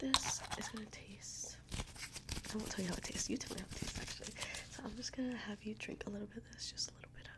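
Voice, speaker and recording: Very fast whispering comes through over noticeable background noise. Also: woman. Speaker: ASMR creator playing a medical examiner. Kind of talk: ASMR medical roleplay, fast-paced exam. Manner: fast, upbeat, instructional.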